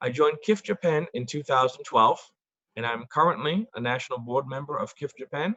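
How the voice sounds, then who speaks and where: A man's fairly high, bright, sharp voice with an American accent, fairly quick in pace, dry and close with no echo. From US Northeast, Boston, Massachusetts. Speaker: event organizer, board member. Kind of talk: formal forum introduction. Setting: video call.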